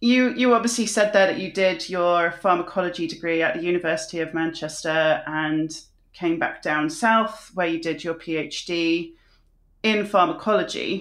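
The background is silent and the recording very clean. At a moderate pace, an ordinary speaking voice carries ordinary pitch variation. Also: woman, fairly low pitch for a woman. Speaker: podcast host. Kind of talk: interview conversation.

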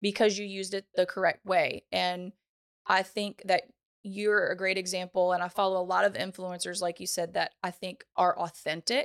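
Recorded very cleanly over a silent background, with a dry, close sound and no echo, a woman with a Louisiana accent talks at a moderate pace and a medium pitch. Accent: Southern US (Louisiana). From US South, Louisiana (Ponchatoula). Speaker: social media educator. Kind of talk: casual interview. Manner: animated.

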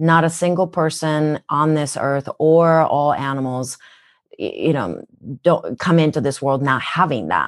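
Against a quiet background, a woman with a very deep, low pitch and ordinary pitch variation talks at a fairly slow pace. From Japan. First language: Japanese. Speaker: wellness educator. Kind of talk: interview.

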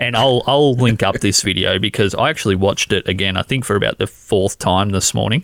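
Talking at a fairly quick pace with an Australian accent, a man uses a fairly low voice with ordinary pitch variation and very even loudness. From Australia, Canberra. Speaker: podcast host. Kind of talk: casual chat. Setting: video call.

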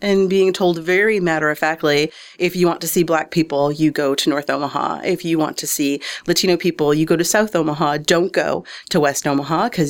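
The speaker has an American accent, a fairly quick pace and fairly even intonation. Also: woman. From Detroit suburbs, Michigan. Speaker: arts nonprofit director. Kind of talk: interview.

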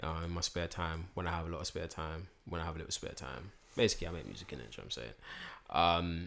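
With vocal fry, a man talks at a very fast pace in a very deep, low pitch. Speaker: podcast co-host. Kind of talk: casual chat.

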